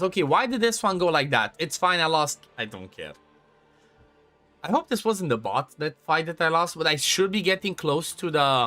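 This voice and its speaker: A man's high voice in a Romanian accent, with music in the background. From Romania, Transylvania (north). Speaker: gaming streamer. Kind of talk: casual live-stream chat. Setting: live stream.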